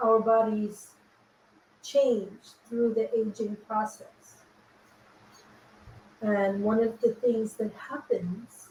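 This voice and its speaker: In a somewhat breathy, dark, mellow tone, a woman speaks at a fairly high pitch and a very slow pace, her intonation monotone and flat, with long, frequent pauses. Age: 60s. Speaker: women's empowerment coach. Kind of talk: livestream cooking and coaching talk. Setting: kitchen livestream.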